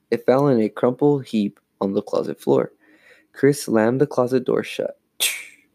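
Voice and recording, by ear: With ordinary pitch variation, a natural voice reads aloud over a quiet background.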